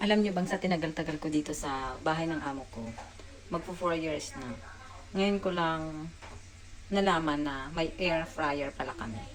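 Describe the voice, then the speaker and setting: A woman's very deep, low voice, animated in tone, at a moderate pace with ordinary pitch variation, noticeable background noise and audible room echo. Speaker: domestic helper vlogger. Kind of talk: casual vlog. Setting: indoors at employer's home kitchen. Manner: soft-spoken, keeping voice low; chatty, animated.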